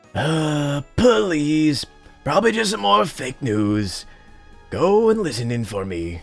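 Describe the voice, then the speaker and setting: Using a put-on character voice, a man talks at a fairly slow pace with a fairly high pitch and very wide pitch swings while faint music plays in the background. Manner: dismissive.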